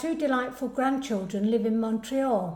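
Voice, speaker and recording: In an English Midlands accent, the speaker talks at a moderate pace with ordinary pitch variation and audible room echo. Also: woman. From English Midlands, Derbyshire-Staffordshire border. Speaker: club committee member. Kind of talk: personal introduction.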